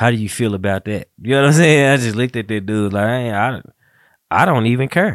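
In a very clean recording with a silent background, a man with an ordinary speaking voice talks fairly quickly at a medium pitch with ordinary pitch variation. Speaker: podcast host. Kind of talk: casual chat. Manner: relaxed, joking.

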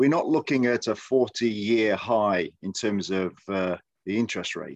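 With an English Midlands accent, a man speaks at a fairly low pitch, the sound dry and close with no echo and the background quiet. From Midlands, England. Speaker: podcast host. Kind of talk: casual chat.

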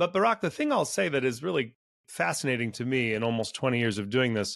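A man with a Californian accent at a moderate pace. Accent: Californian American. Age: 40s. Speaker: venture capital investor. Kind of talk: interview.

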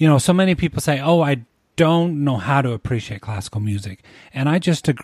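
A man talks at a medium pitch in a somewhat breathy voice. His pitch swings very widely. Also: very clean recording, silent background. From small rural town. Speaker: podcast host. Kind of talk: scripted narration; interview.

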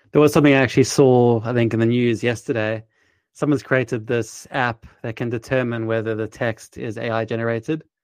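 A man talks at a fairly quick pace in a medium pitch with flat, monotone intonation. The background is quiet. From South Africa. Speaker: podcast host and startup founder. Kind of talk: casual interview.

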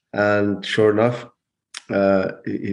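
In a western Irish accent, a man speaks at a fairly low pitch. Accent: Irish (west of Ireland). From Ireland, County Mayo. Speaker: investment educator, former salmon farming director. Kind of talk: interview conversation.

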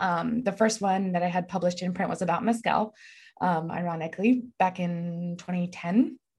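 A woman with an American accent talks at a moderate pace and medium pitch, somewhat breathy, with ordinary pitch variation. The background is quiet. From Texas. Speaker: journalist and author. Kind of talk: interview.

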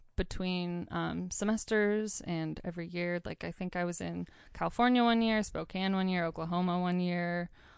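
Against a quiet background, a woman with an ordinary speaking voice and medium pitch talks at a moderate pace. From northern Idaho. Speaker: wellness advocate. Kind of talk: casual chat.

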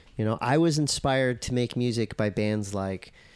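Speaking at a moderate pace, a man with a Southern California accent uses a medium pitch and ordinary pitch variation. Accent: Southern California surfer. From US West Coast, Encinitas, California. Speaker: surf commentator and former pro surfer. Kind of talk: casual chat.

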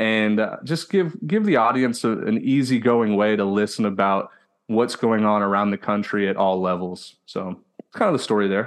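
Over a quiet background, a man with an American accent and a normal speaking voice talks at a moderate pace and fairly low pitch. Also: ordinary pitch variation. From Houston, Texas. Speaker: podcast host, former college baseball player. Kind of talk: casual chat.

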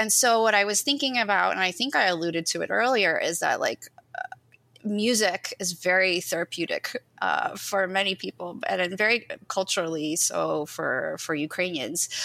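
Bright and sharp in tone with vocal fry, a woman speaks at medium pitch and a moderate pace, with ordinary pitch variation. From US, Ukrainian-American family. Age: 40s. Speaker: poet. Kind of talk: casual interview.

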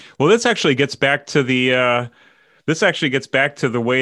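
A man speaks in a normal speaking voice with an American accent. His pitch variation is ordinary, and the background is quiet. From New York. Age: 50s. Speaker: podcast host. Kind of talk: casual chat.

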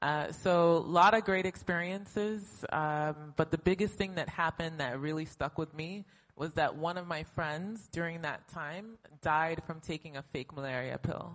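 The speaker has an unremarkable speaking voice, ordinary pitch variation and a moderate pace. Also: woman, fairly low pitch for a woman. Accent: American. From United States. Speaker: health startup co-founder and CEO. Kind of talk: panel discussion. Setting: stage with audience.

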